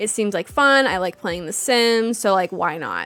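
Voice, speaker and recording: This woman speaks at a medium pitch with ordinary pitch variation. Her tone is animated. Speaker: vtuber streamer. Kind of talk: casual chat. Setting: livestream.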